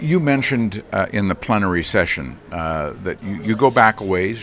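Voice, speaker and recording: A man with an American accent speaks in a very deep, low pitch over noticeable background noise. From US (Minnesota). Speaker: interviewer. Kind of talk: interview.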